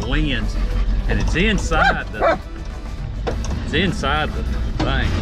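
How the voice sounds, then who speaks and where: Loud music plays in the background while the speaker keeps a moderate pace. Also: man. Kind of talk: casual vlog chat. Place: car. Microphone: phone near.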